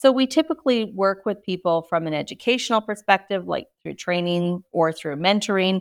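A woman with a plain, everyday voice, fairly quick pace and ordinary pitch variation, in a very clean recording with a silent background and a dry, close sound with no echo. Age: 60s. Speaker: speaker and author. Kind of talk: casual interview chat.

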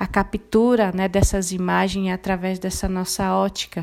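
A woman at a very slow pace, her intonation fairly even. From Brazil, Mato Grosso do Sul (Guarani Kaiowá village near Dourados). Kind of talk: interview.

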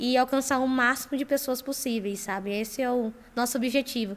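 A woman speaks at a moderate pace in a high voice with fairly even intonation, on a very clean recording with a silent background. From Campo Grande, Mato Grosso do Sul, Brazil. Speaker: startup founder, engineer. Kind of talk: podcast interview.

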